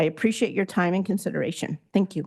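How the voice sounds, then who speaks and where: Against a quiet background, a woman speaks very fast in a somewhat breathy voice of medium pitch with lively intonation, the sound dry and close with no echo. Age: 60s. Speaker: public commenter. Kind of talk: public comment at board meeting. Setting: public board meeting.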